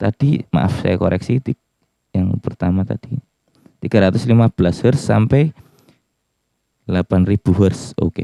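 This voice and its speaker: A man talks at a fairly slow pace with a fairly low pitch, a dark, mellow tone and ordinary pitch variation. The sound is dry and close with no echo, and his pauses are long and frequent. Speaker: music gear reviewer. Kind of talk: tutorial.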